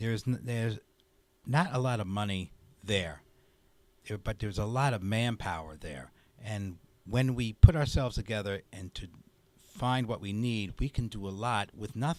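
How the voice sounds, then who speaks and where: A man at a fairly low pitch with ordinary pitch variation, a moderate pace, long, frequent pauses and big swings in loudness, in a very clean recording with a silent background. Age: 60s. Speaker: community activist. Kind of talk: interview. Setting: studio.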